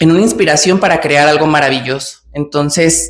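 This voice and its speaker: With ordinary pitch variation, a woman speaks in a Mexican accent. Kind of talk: casual vlog monologue. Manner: natural, hesitant with fillers.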